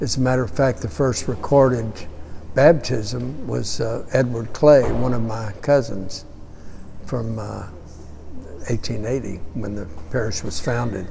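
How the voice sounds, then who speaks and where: A man with an American accent at a medium pitch, fairly slow with long, frequent pauses, plus audible room echo and noticeable background noise. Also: ordinary pitch variation. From Houston, Texas. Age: 70s. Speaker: parish archivist. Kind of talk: oral history interview. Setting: parish auditorium. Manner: hesitant, with many fillers.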